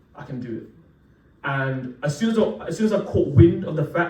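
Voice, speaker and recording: There is audible room echo as a man with a fairly high pitch speaks at a fairly quick pace. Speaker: preacher. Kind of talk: sermon. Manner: casual, conversational with fillers.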